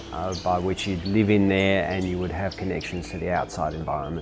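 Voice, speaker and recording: Against noticeable background noise, a man speaks at a very deep, low pitch with ordinary pitch variation. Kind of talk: interview answer. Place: home room.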